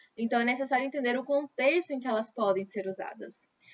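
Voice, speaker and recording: Speaking with a Brazilian accent, a woman has a high pitch and ordinary pitch variation. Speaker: English teacher. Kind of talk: lecture. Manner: conversational, repetitive fillers.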